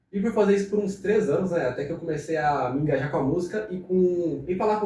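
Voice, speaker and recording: With audible room echo, a man talks at a fairly quick pace in a high pitch with ordinary pitch variation. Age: 20s. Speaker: young entrepreneur. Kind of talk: podcast interview. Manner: casual, conversational.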